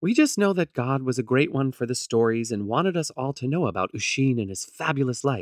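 Someone reads aloud plainly. The intonation is lively.

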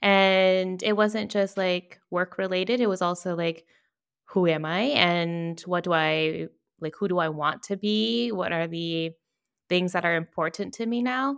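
A woman with a normal speaking voice talks in a fairly low pitch with an American accent and ordinary pitch variation. Her pace is fairly slow, and the recording is very clean with a silent background. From Virginia. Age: 30s. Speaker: brand strategist and podcaster. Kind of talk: interview.

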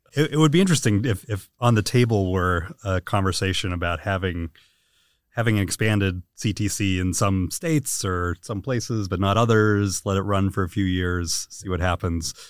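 A man with an unremarkable speaking voice talks at a fairly low pitch and moderate pace, with ordinary pitch variation. The recording is very clean with a silent background, the sound dry and close with no echo. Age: 40s. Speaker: policy researcher. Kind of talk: interview.

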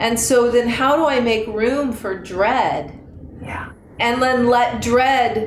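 A woman speaks at a high pitch with audible room echo. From Northern California (Marin County). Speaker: yoga teacher and studio owner. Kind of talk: casual interview.

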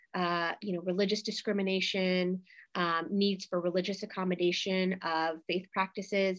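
This woman's voice sits at a medium pitch. She talks at a moderate pace with monotone, flat intonation. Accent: American. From US Midwest, St. Louis, Missouri. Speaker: law lecturer and attorney. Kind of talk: interview.

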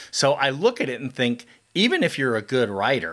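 In a Californian accent, a man at medium pitch speaks at a moderate pace with a bright, sharp tone, on a very clean recording with a silent background. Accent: Californian American. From Southern California. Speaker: podcast host. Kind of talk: interview.

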